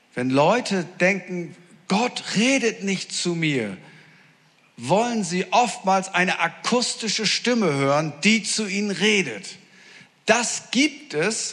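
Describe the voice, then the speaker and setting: This man talks at a very slow pace in a high voice with lively intonation. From northern Germany. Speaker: preacher. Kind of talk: sermon. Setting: church with audience. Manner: animated.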